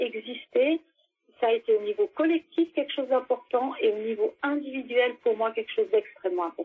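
Her high-pitched voice swings very widely up and down as this woman talks. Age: 50s. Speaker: former community radio producer. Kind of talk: interview testimony.

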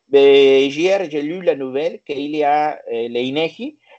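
A man speaks with a Spanish accent. His pitch is fairly high. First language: Spanish (speaking French). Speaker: interviewee on Mexico. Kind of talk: interview. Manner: halting.

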